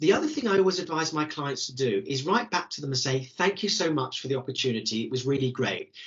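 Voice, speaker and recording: Enthusiastic and very fast, a man with a British accent speaks at a fairly high pitch with lively intonation. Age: 60s. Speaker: careers coach. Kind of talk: webinar Q&A.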